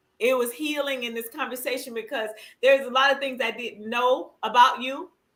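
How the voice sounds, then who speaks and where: At a fairly quick pace, a woman with a high pitch keeps her intonation fairly even while her loudness swings widely. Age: 50s. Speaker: livestream talk show host. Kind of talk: casual chat. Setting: livestream.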